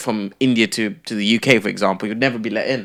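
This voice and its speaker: A man with a London accent talks at a very fast pace in a medium pitch. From London, England (childhood in Kenya). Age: 20s. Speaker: former reality TV contestant and entrepreneur. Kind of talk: casual podcast interview.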